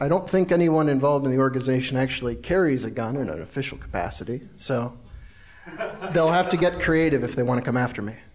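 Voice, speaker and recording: Very fast speech from a man, pitched in the middle of his range, amid noticeable background noise. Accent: American. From South Carolina. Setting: stage with audience.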